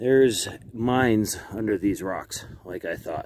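A man talks at a fairly slow pace and a fairly low pitch, with ordinary pitch variation. The sound is dry with no echo, and there is light background noise. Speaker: explorer vlogger. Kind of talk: casual vlog chat. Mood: cautious, curious. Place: open country. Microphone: phone near.

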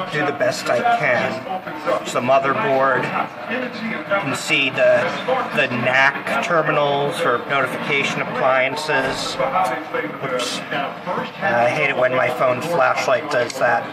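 Loud background noise runs beneath a man speaking at a very slow pace. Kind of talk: casual tour commentary. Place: hall. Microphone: phone near.

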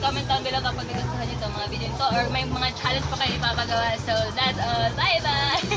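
Loud music plays in the background as a woman talks at a very fast pace. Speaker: vlogger. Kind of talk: casual vlog chat. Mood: cheerful, laughing. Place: street. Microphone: phone near.

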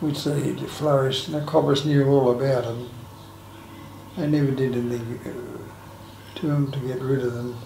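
Audible room echo and light background noise surround a man with an Australian accent. His intonation is monotone and flat, with long, frequent pauses. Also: medium pitch for a man, moderate pace. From Sydney, Australia. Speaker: aged care resident, former lifesaver and sales career. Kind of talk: oral history interview answer. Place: home room. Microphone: camera far.

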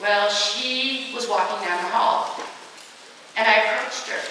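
A woman's voice carries strong room echo over light background noise. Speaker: motivational speaker against bullying. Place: hall. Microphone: pa.

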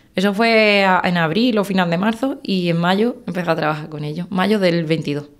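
In a plain, everyday voice, a woman at medium pitch speaks at a moderate pace with ordinary pitch variation, hardly any pauses and a quiet background. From Andalusia, Spain (Algeciras); Andalusia. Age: 20s. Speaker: wildlife biologist and hunter; guest. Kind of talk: interview. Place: studio. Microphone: studio mic.

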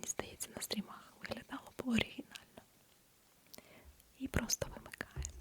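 A woman whispers in a gentle tone at a moderate pace, leaving long, frequent pauses. Noticeable background noise is present. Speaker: ASMR creator. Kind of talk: ASMR whisper with product demo to camera. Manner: soft whispered, gentle; quiet, close-mic.

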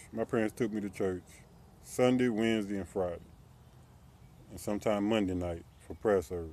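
Dry with no echo, a man's fairly low, dark, mellow voice moves at a fairly quick pace with ordinary pitch variation and long, frequent pauses. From US South, Columbia, South Carolina; South Carolina. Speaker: YouTuber. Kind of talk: personal vlog monologue. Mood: critical, earnest about religion. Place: street. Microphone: phone near.

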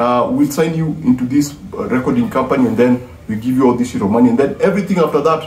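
Music plays behind a man who talks at a fairly quick pace, with audible room echo. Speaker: music commentator. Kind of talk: casual vlog commentary. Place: home room. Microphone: phone near.

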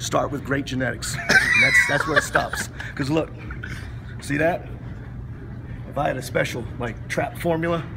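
Long, frequent pauses break up a man's moderate pace as loud background noise goes on. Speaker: interviewee. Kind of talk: interview answer. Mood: joking, self-deprecating. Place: gym. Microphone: phone near.

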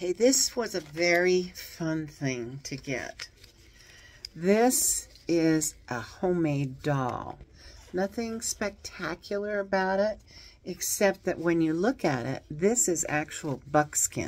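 The delivery has lively intonation and a very slow pace. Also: woman, fairly low pitch for a woman. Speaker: reseller showing thrift finds. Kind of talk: casual vlog chat. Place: home room. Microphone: phone near.

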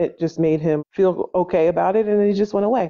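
In an ordinary speaking voice, a woman talks at a moderate pace and medium pitch with ordinary pitch variation. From New Jersey. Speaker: unschooling parent. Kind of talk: interview.

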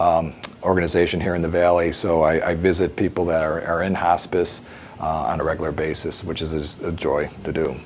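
Light background noise accompanies a man speaking in a very deep, low pitch. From US Midwest, northeastern Illinois near Chicago. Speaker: podcast guest. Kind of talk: casual interview. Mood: calm, warm.

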